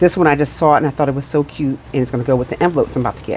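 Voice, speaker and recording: A woman with a very deep, low pitch mumbles over noticeable background noise. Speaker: budgeting vlogger. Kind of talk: casual vlog chat. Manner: mumbling.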